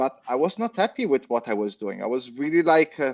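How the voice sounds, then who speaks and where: Speaking at a fairly quick pace with an Italian accent, a man's voice swings very widely in pitch, with a dry, close sound and no echo. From Italy. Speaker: crypto community leader. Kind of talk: panel discussion. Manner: halting, many fillers.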